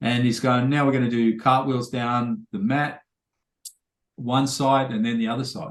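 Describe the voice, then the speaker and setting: At a moderate pace, a man talks in a medium pitch. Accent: Australian. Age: 50s. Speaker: podcast host. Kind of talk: casual chat.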